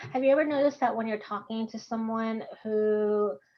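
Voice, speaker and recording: With a Texan accent, a woman speaks at a moderate pace in a fairly high pitch with ordinary pitch variation. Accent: Texan American. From Texas. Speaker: course instructor. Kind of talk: online workshop lecture. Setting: video call.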